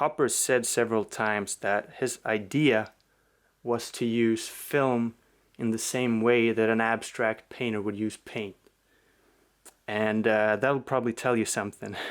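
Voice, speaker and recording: Recorded very cleanly against a silent background, a man with a Swedish accent talks at a fairly slow pace in a monotone, flat intonation. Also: medium pitch for a man. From Sweden. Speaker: film collector YouTuber. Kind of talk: casual video review. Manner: hesitant, many fillers.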